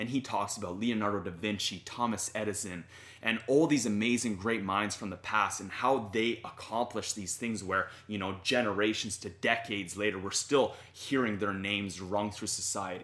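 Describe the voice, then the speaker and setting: Speaking with a Canadian accent, a man uses a fairly low, bright and sharp voice. He keeps a moderate pace with fairly even intonation and hardly any pauses. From Canada. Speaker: YouTuber and fitness content creator. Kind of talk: casual interview. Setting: in person with hosts.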